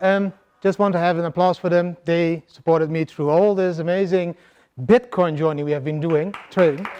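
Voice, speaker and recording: A man with a Dutch accent speaks at a moderate pace in a high, dark, mellow voice with fairly even intonation. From Netherlands. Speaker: crypto investor, conference speaker. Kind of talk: conference talk. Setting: stage with audience.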